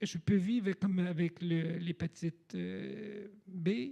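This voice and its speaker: Speaking with a dark, mellow tone, a man keeps his voice high. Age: 60s. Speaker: person living with HIV. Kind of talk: panel discussion. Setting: stage with audience, livestreamed. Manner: halting.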